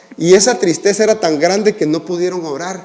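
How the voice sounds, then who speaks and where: Noticeable background noise sits under this clip. A man speaks in a high pitch. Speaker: pastor. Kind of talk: sermon.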